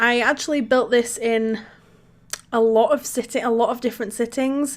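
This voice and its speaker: With a British accent, a woman talks in fairly even intonation. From UK. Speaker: Sims content creator. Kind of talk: video game voiceover. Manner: casual, hesitant with repetitions.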